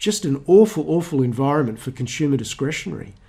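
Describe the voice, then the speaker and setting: A man speaks at a very fast pace. His voice is fairly high and somewhat breathy. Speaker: stock market educator. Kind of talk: market commentary with charts. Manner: hesitant, many fillers and restarts.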